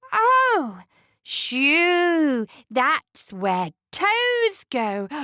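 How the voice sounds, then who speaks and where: A woman's put-on character voice at an extremely high pitch with very wide pitch swings. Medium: read story.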